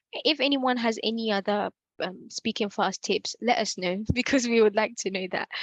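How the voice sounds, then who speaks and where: A woman talks at a moderate pace in a plain, everyday voice. Her pitch is fairly high with ordinary variation, and the sound is dry and close with no echo. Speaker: workshop facilitator. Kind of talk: Q&A in online workshop.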